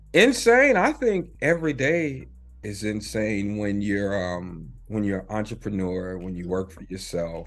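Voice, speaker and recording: Music plays behind a man with an American accent and a fairly low voice. He speaks fairly slowly, with big swings in loudness. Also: lively intonation. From Charlotte, North Carolina. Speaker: filmmaker, director. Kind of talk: interview answer.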